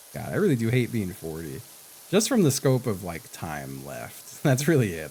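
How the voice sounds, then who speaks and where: A man talks with very wide pitch swings and big swings in loudness. Noticeable background noise runs under the voice. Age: 40s. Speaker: video game streamer. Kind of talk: casual live stream chat. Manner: casual, profane.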